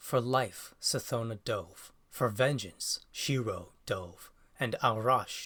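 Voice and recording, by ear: Fairly even intonation from a natural voice reading aloud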